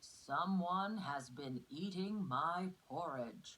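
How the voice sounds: Putting on a character voice, a man speaks at a very slow pace with a high pitch.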